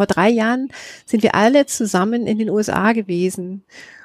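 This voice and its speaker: A woman speaks in an unremarkable speaking voice. Her medium pitch follows a fairly even intonation. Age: 40s. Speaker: author, journalist and musician. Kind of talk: casual interview. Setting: outdoors on a balcony.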